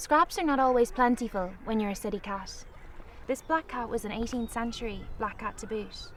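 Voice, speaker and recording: A woman with a Galway accent speaks at a moderate pace and a fairly high pitch. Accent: Galway Irish. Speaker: author. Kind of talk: storytelling.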